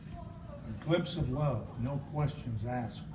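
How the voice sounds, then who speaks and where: Medium pitch from a man, with ordinary pitch variation, over noticeable background noise. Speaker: poet. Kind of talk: poetry reading.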